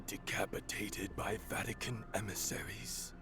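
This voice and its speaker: Whispering in a put-on character voice, a man speaks at a moderate pace amid loud background noise. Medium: video game. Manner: grim, fatalistic.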